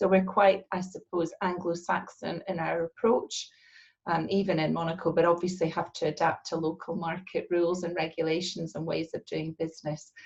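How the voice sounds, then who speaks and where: A woman with a Scottish accent speaks in a somewhat breathy, fairly low voice with monotone, flat intonation at a moderate pace. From Scotland. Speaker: real estate agency partner. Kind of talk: interview.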